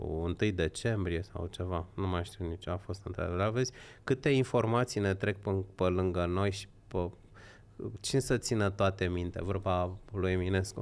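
Very deep and low, a man's voice moves at a moderate pace with fairly even intonation. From Romania, Horezu (Vâlcea); Romania. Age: 50s. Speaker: political commentator. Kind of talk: casual chat. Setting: livestream. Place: studio. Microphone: studio mic.

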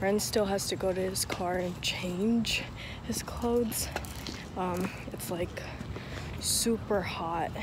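With noticeable background noise behind her, a woman talks at a very slow pace, leaving long, frequent pauses. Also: dry sound with no echo. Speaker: vlogger. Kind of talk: casual vlog chat. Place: street. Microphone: phone near.

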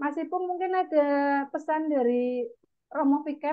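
A woman speaks at a fairly slow pace with a high pitch. Her pitch varies in an ordinary way. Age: 30s. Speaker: event moderator. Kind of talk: formal moderation. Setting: video call. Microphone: earbuds.

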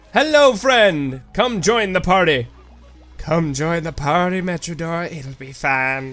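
Over faint background music, a man puts on a sing-song character voice, pitched high and delivered at a fairly slow pace. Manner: creepy, sing-song, inviting.

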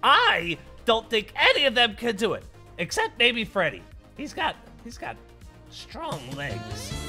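Over clear music in the background, a put-on character voice moves at a fairly slow pace. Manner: boastful, playful, excitable.

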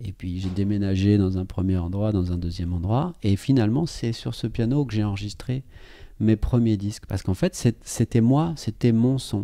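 In a quiet background, a man speaks at a moderate pace with a dark, mellow tone, fairly low pitch and ordinary pitch variation. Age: 30s. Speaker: pianist and composer. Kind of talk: casual chat. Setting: at his home next to his piano.

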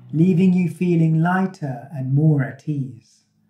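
With audible room echo and music in the background, a man talks at a very slow pace in a soothing, gentle tone. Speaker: meditation guide. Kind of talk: guided meditation. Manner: soothing, gentle, calm; slow, unhurried, with pauses. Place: empty room.

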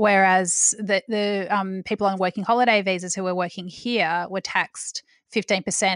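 With an Australian accent, a woman speaks at medium pitch in a flat, monotone way, the sound dry and close with no echo against a quiet background. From Australia, Melbourne. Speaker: podcast host and food journalist. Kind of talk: interview.

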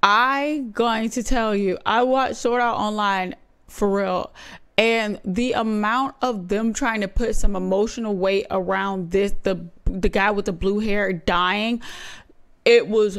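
A woman at a very slow pace, with ordinary pitch variation and a quiet background. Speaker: reaction streamer. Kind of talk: casual reaction commentary. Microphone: studio mic.

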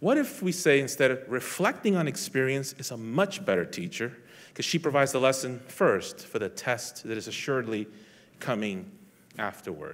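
The man's intonation is lively, and his pace is moderate. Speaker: police lieutenant; speaker. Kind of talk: inspirational talk. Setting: stage with audience. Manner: halting. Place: hall.

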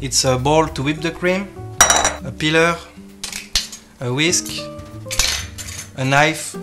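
With a French accent, the speaker goes very slowly with long, frequent pauses over loud background noise. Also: man. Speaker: chef. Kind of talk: cooking demonstration. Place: kitchen. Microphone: camera far.

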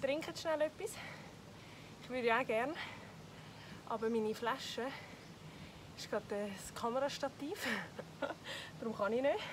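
A woman with high pitch and long, frequent pauses, amid noticeable background noise. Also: moderate pace. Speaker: fitness trainer. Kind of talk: workout instruction. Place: garden.

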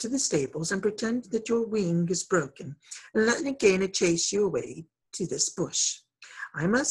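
Against a quiet background, the clip has an unforced reading voice.

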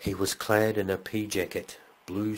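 Recorded very clean with a silent background, a man speaks at a very slow pace. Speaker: audiobook narrator. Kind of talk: ghost story reading aloud, building suspense toward a grisly apparition. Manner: measured, deliberate pacing that lingers on eerie details.

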